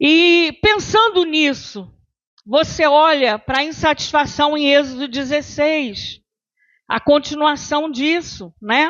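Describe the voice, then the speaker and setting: Her voice sits high, and this woman speaks very slowly with ordinary pitch variation. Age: 60s. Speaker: pastor. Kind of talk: sermon.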